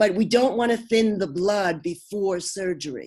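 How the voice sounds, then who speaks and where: A woman with a Brooklyn accent, fairly slow in pace and medium in pitch. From US Northeast, Brooklyn. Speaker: homeopath and naturopath. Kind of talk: interview.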